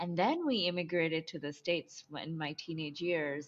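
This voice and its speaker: A woman with a fairly low pitch at a fairly slow pace. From Bangladesh, moved to US as teen. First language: Bengali. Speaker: somatic and intimacy coach. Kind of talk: interview, personal story.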